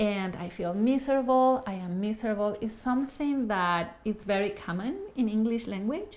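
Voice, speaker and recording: A woman with an Ecuadorian accent speaks at a fairly slow pace, her fairly high voice showing ordinary pitch variation. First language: Spanish. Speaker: Spanish easy-reader author. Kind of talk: casual monologue to camera.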